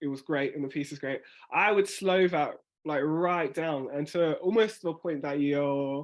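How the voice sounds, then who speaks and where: Against a quiet background, a voice in a South London accent keeps a fairly even intonation. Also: man. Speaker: spoken word artist. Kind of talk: workshop tutorial. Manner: fast talker.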